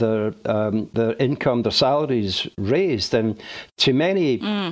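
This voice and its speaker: A man with a Glaswegian accent speaks at a fairly slow pace. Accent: Glaswegian Scottish. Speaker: retired mortuary technician. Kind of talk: interview testimony.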